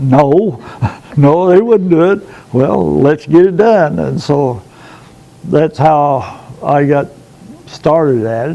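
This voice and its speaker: Over noticeable background noise, a man talks very slowly at a fairly high pitch. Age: 70s. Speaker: pastor of a small rural church. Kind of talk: interview testimony. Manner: halting.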